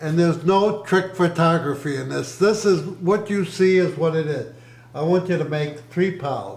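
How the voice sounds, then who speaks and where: A man with a high pitch and ordinary pitch variation talks at a moderate pace amid audible room echo and noticeable background noise. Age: 80s+. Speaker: grandfather interviewed by his child. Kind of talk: family interview.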